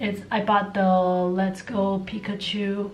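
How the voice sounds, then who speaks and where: A woman with an American accent and a medium pitch is heard with audible room echo and noticeable background noise. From Taiwan. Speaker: vlogger. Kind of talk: casual chat. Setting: home. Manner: animated.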